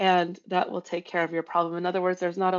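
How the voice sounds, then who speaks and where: Her voice sits fairly low in pitch for a woman. The intonation is monotone and flat. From Romania. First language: Romanian. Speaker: co-founder of a brand and social impact consultancy. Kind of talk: podcast interview. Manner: hesitant, many fillers.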